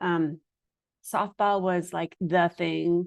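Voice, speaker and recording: This woman's voice sits at a medium pitch, and the background is quiet. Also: dry, close sound with no echo. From United States, Hungarian immigrant family. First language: Hungarian. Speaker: diplomatic spouse in foreign service, podcast participant. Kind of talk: casual group conversation. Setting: online group call. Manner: casual, many fillers like um.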